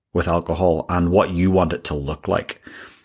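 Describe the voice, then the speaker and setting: A man with an Irish accent. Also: very clean recording, silent background. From Ireland. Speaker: executive coach, podcast host. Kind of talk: solo monologue.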